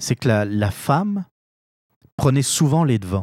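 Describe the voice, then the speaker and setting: At a fairly slow pace, a dark, mellow tone moves through very wide pitch swings, with a dry, close sound, no echo and a very clean recording on a silent background. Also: man. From France. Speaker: political podcast host. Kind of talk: opinion commentary monologue. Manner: hesitant, frequent fillers and repetitions.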